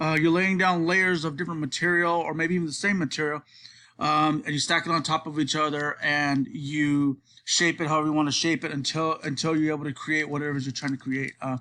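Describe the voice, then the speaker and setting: A man speaks very fast in a bright, sharp tone, his fairly high pitch held to a fairly even intonation against a quiet background. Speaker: college student. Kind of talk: class presentation. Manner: halting, many filler words; casual.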